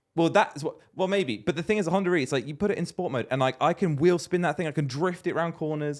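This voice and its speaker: Speaking at a very fast pace with hardly any pauses, a man with a British accent uses a high pitch, ordinary pitch variation and an animated tone. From Britain. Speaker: podcast co-host. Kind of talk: casual chat.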